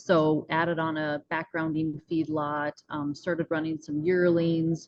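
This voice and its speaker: With an American accent, a woman talks fairly slowly in a very deep, low pitch and a monotone, flat intonation. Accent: North Dakota accent, noticed by others. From US Upper Midwest, northwest North Dakota. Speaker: rancher and mindset coach. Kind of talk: podcast interview.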